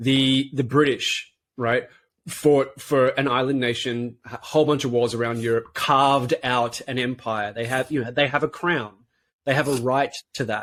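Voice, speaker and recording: Here a man with an Australian accent speaks at a medium pitch. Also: moderate pace. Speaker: podcast co-host. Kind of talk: casual chat. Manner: animated.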